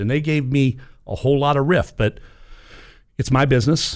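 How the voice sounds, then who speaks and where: A man with an unremarkable speaking voice, fairly even intonation and a fairly quick pace, against a quiet background. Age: 50s. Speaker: podcast host, gun range operator. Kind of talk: casual discussion.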